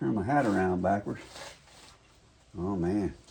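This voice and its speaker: Over noticeable background noise, a soft-spoken man talks at a moderate pace. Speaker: DIY truck restoration youtuber. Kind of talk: tutorial. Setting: home garage. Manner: casual, halting with fillers.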